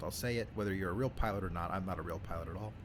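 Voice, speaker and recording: A man with an American accent speaks in a very deep, low register, somewhat breathy, with fairly even intonation. The room echo is audible. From New York City (Staten Island). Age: 30s. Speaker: flight sim YouTuber. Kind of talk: casual chat. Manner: casual, hesitant with fillers.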